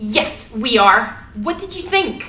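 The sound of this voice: A woman performs a put-on character voice with big pitch swings and a bright, sharp tone. She speaks at a slow pace, and audible room echo fills the recording. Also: fairly high pitch for a woman.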